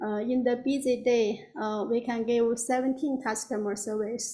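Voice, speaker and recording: A woman with a non-native accent speaks at a fairly high pitch, her dark, mellow tone carried by monotone, flat intonation. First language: not English. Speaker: applicant presenting a massage spa business. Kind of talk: public hearing presentation. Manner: halting.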